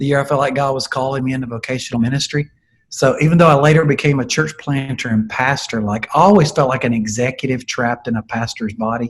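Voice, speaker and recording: This man talks very fast with a somewhat breathy voice and a Southern US accent. His pitch is medium, with ordinary variation. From US South. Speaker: leadership coach, former pastor. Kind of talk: interview.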